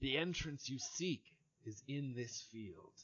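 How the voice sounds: A put-on character voice at low-to-middle pitch and a fairly slow pace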